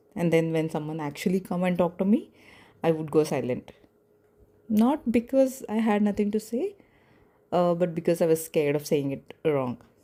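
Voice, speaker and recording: With a non-native accent, a woman talks at a moderate pace in a fairly low, dark and mellow voice, her intonation lively and her speech broken by long, frequent pauses. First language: not English. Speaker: podcaster. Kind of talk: personal reflection monologue. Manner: hesitant, with pauses.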